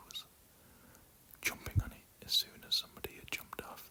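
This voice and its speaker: A man whispers over noticeable background noise. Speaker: ASMR content creator. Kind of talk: casual storytelling about his wedding day. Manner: whispered, soft-spoken.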